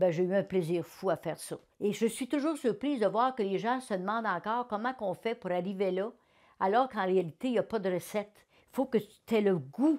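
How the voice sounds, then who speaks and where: On a very clean recording with a silent background, a woman with a Quebec accent talks at a fairly quick pace, her medium pitch carried by lively intonation. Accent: Québécois French. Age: 70s. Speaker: retired politician. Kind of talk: interview testimony. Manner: animated.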